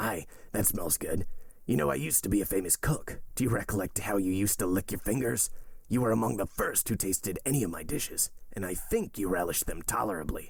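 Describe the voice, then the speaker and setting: A man puts on a raspy character voice at a fairly low pitch. He races at a very fast pace with lively intonation. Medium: read story.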